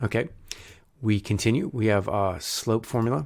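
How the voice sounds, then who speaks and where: A man with an American accent speaks at a moderate pace in a medium pitch, with ordinary pitch variation, on a very clean recording with a silent background. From US South. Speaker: math tutor. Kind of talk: tutorial. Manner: casual, hesitant with fillers.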